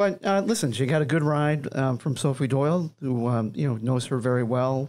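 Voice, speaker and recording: Against a quiet background, this man varies his pitch in an ordinary way and keeps a moderate pace. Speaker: managing editor of racing publication. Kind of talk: casual panel discussion. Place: studio. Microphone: studio mic.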